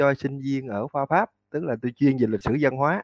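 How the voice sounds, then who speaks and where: A man with a Southern Vietnamese accent speaks over a quiet background. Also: dry, close sound with no echo. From Mekong Delta, Vietnam (Tân Châu, An Giang). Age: 40s. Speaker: university lecturer and cải lương researcher. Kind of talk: interview.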